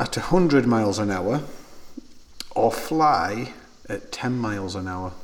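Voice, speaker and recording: A man with a Sheffield accent and very wide pitch swings, over noticeable background noise. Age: 30s. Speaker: podcast host and clothing shop owner. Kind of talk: casual chat.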